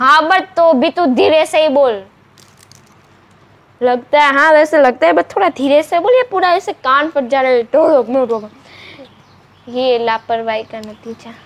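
With a high pitch and lively intonation, a woman speaks through long, frequent pauses over noticeable background noise. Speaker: YouTuber, sister in a sibling challenge. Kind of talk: casual talk to camera. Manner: upbeat, chatty.

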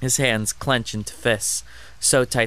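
The voice reads naturally. Intonation is fairly even throughout.

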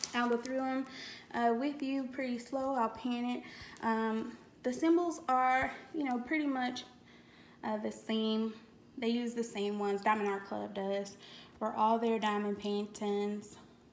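A woman talks at a fairly slow pace with an American accent and ordinary pitch variation, leaving long, frequent pauses. Light background noise can be heard. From Louisiana. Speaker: YouTuber, crafting hobbyist; YouTuber. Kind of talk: product unboxing video. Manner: casual, chatty with fillers. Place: home room. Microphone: phone near.

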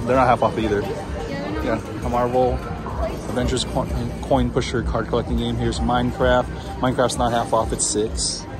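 Clear music sounds in the background as a man talks at a moderate pace. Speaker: arcade tour vlogger. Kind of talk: casual tour commentary. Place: hall. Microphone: phone near.

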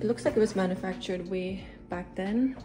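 A woman speaks with ordinary pitch variation. Light background noise is present. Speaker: vlogger. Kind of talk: casual vlog chat. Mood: excited, upbeat. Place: home room. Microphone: phone near.

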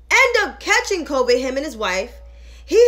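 A woman speaks in an animated tone with very wide pitch swings while music plays in the background. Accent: American. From New York. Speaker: political commentator. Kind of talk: angry rant, scathing political commentary. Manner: animated, indignant, sarcastic; direct, emphatic. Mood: sarcastic, indignant. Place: home room. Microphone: phone near.

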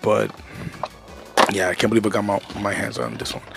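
Faint music plays behind a man talking at a fairly quick pace in a monotone, flat way. The sound is dry with no echo. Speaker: toy collector vlogger. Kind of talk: casual vlog chat. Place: home room. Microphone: headset.

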